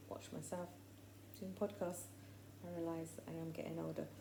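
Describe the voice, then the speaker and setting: In an English Midlands accent, a woman with a very deep, low pitch makes very wide pitch swings, heard through audible room echo and noticeable background noise. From English Midlands, near Coventry. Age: 60s. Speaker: faith podcaster. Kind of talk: personal testimony monologue. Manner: chatty, rambling with fillers.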